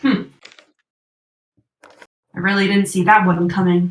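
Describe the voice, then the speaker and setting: A put-on character voice, gruff and at a middle pitch, speaks at a fairly slow pace. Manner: gruff, grunting.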